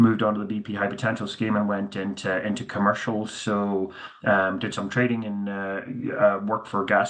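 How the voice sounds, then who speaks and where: A man's fairly low voice in a Northern Irish accent, fairly quick and fairly even in intonation, with noticeable background noise and audible room echo. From Northern Ireland, Belfast. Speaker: company CEO. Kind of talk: conference presentation. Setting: virtual conference. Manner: casual with many fillers.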